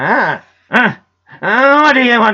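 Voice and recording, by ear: In a put-on character voice, the speaker sounds gruff at a fairly high pitch.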